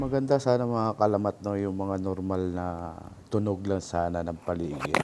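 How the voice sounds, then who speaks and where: Background noise is noticeable. The pace is moderate. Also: man, fairly low pitch for a man, ordinary pitch variation. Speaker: moto-camping vlogger. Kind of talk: vlog voice-over narration. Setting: beach campsite voice-over.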